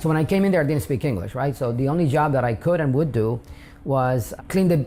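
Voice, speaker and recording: Speaking in a Spanish accent, a man uses a medium pitch, lively intonation and a dark, mellow tone. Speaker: immigrant interviewee. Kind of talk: interview testimony. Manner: hesitant with fillers.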